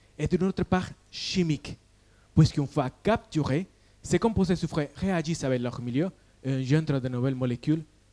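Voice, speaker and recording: A man speaks with a slight Colombian accent at a fairly high pitch. His tone is dark and mellow. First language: Spanish (speaking French). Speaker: PhD student. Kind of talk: science pitch competition talk. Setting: stage with audience.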